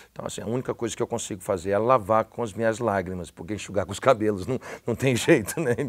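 The speaker is a man. He goes very fast, with a fairly low pitch. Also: ordinary pitch variation. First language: English (speaking Portuguese). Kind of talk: casual chat. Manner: halting. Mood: warm, animated, heartfelt. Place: studio.

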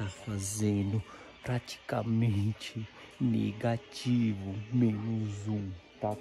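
Clear music sounds in the background while a man talks at a fairly low pitch with ordinary pitch variation. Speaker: vlogger. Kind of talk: casual vlog chat. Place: home room. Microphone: phone near.

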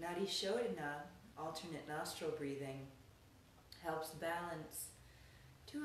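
Over light background noise and audible room echo, a woman with a fairly low pitch speaks in a gentle, calm tone with ordinary pitch variation. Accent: American. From Colorado, US. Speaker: yoga and meditation teacher. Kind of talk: guided meditation. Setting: online class to a live video audience. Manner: slow, calm, soothing, with long pauses; gentle, soft-spoken. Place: home room. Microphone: phone near.

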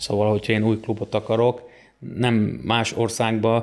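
At a fairly quick pace, a man speaks in a fairly low, monotone voice with flat intonation. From southern Slovakia. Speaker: wrestling club president and coach; guest. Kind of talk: interview. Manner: halting, with many repeated words. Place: home room. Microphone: studio mic.

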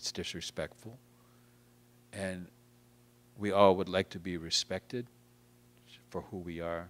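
This man has a very deep, low pitch and an American accent. He talks at a fairly slow pace in a monotone, flat intonation with long, frequent pauses. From Massachusetts. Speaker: guest. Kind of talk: interview. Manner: halting, many repeated words. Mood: calm, reflective. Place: hall.

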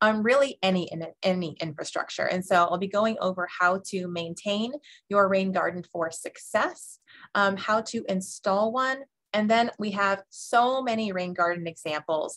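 Moderate-paced speech from a woman, quiet background behind her. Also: ordinary pitch variation. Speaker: webinar presenter. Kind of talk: lecture. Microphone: webcam.

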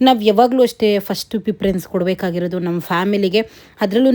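Medium in pitch with ordinary pitch variation, a woman speaks in a dark, mellow tone. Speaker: vlogger. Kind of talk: casual vlog talk. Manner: loud.

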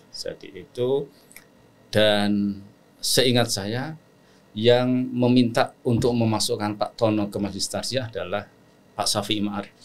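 A man speaks at a medium pitch and a fairly slow pace. His intonation is fairly even, with long, frequent pauses. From Central Java, Batang Pekalongan; Central Java, Indonesia. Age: 60s. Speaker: Islamic scholar and lecturer; lecturer. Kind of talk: interview conversation. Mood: calm, reflective. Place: studio. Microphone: studio mic.

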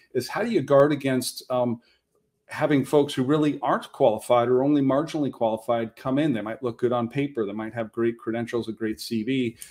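Against a quiet background, a man speaks fairly quickly with fairly even intonation. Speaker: speaker. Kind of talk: panel presentation. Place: home room. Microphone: webcam.

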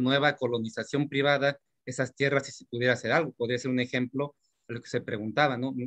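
At a fairly quick pace, a man speaks at a medium pitch with fairly even intonation and an unremarkable speaking voice, against a quiet background. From Mexico. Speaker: workshop participant. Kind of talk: audience question. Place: home room. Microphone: video call.

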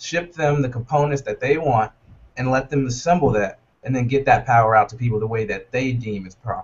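In an American accent, a somewhat breathy man talks at a fairly quick pace. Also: medium pitch for a man, ordinary pitch variation. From US South, North Carolina. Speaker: startup co-founder. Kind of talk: interview. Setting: video call. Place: office. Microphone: video call.

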